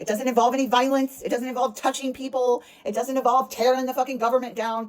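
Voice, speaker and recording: A woman speaks very fast in a high voice with an animated, passionate tone over noticeable background noise. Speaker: energy practitioner. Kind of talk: motivational monologue. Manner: passionate, forceful.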